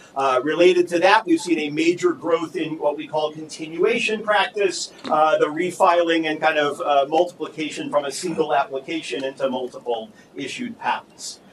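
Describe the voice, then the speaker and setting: With noticeable background noise behind him, a man talks at a moderate pace and a fairly high pitch, with ordinary pitch variation and hardly any pauses. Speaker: law professor. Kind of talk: conference panel talk. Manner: loud.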